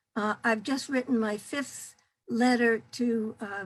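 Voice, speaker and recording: A woman's fairly high, somewhat breathy voice at a fairly slow pace with fairly even intonation, on a very clean recording with a silent background. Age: 80s+. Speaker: activist. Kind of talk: testimony. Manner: halting.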